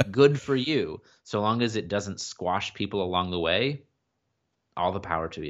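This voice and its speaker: At a moderate pace, an unremarkable speaking voice moves through lively intonation. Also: man, fairly low pitch for a man. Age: 30s. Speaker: organizational culture consultant. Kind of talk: interview.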